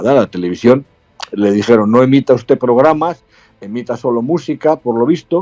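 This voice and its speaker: A man at medium pitch and moderate pace, with lively intonation, big swings in loudness, a dry, close sound with no echo, and music in the background. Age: 70s. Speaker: retired army colonel. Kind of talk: interview.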